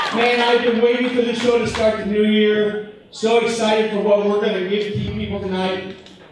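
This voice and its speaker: A man with a high pitch speaks at a fairly quick pace in a monotone, flat intonation with hardly any pauses, amid strong room echo and noticeable background noise. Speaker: wrestling promoter and host introducing a ring announcer. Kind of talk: live event opening announcement to a crowd. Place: hall.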